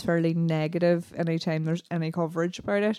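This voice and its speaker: Delivered at a fairly quick pace with an Irish accent, the voice has a dark, mellow tone and flat, monotone intonation. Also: woman. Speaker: podcast co-host. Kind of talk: casual chat.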